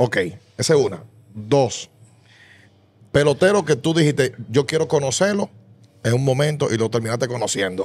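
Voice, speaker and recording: A man's somewhat breathy voice at a moderate pace, with lively intonation, very even loudness, and long, frequent pauses. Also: medium pitch for a man. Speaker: sports podcast host. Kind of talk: interview question. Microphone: studio mic.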